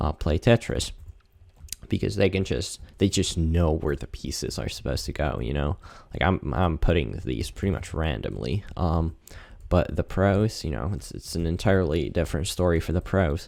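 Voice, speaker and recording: On a very clean recording with a silent background, a man with a very deep, low pitch and vocal fry talks at a moderate pace with lively intonation. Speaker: video creator seeking accent feedback. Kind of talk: casual monologue while gaming. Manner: hesitant, many fillers and repeats.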